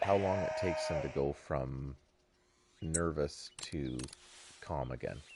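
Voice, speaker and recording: Speaking at a very slow pace with long, frequent pauses, a man with a very deep, low pitch and ordinary pitch variation is heard over noticeable background noise. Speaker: video game streamer. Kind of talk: live gameplay commentary. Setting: live stream.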